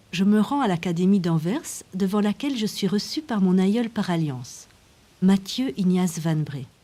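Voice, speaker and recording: Very slow and somewhat breathy, the voice has a dark, mellow tone and lively intonation. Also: woman. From Belgium, Brussels. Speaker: documentary filmmaker. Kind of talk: documentary narration.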